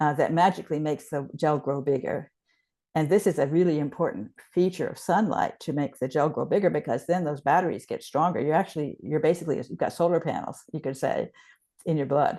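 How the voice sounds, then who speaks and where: A woman talks at a fairly quick pace in a very deep, low pitch with ordinary variation and a dark, mellow tone. The background is quiet. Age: 70s. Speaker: research scientist. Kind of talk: interview. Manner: halting, many false starts.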